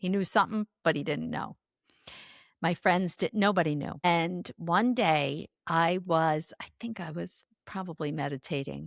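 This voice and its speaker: A woman with a plain, everyday voice speaks at a fairly slow pace and fairly low pitch, with ordinary pitch variation and a dry, close sound with no echo. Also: very clean recording, silent background. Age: 60s. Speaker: author and speaker. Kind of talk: interview.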